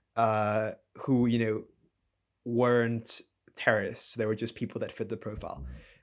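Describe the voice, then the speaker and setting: Speaking at a medium pitch in a flat monotone, a man leaves long, frequent pauses. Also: moderate pace, very clean recording, silent background. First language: not English. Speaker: podcast co-host. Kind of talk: conversational discussion.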